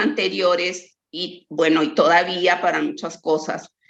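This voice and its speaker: Audible room echo surrounds a woman who speaks at a very slow pace with lively intonation. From Mexico, Chihuahua. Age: 60s. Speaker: researcher. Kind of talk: lecture.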